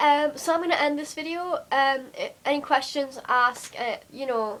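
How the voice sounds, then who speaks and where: In a Geordie accent, a woman talks at a moderate pace and a high pitch with ordinary pitch variation. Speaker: vlogger. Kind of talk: casual vlog monologue. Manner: hesitant, many fillers.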